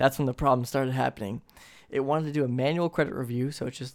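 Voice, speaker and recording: This man has an unremarkable speaking voice. He talks at a fairly quick pace, and his pitch varies in an ordinary way. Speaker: phone retail employee podcaster. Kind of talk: casual chat.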